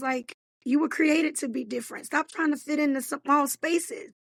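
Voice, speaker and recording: A woman speaks at a moderate pace in a dry, close recording with no echo. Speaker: life coach and author. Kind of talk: podcast interview. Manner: energetic.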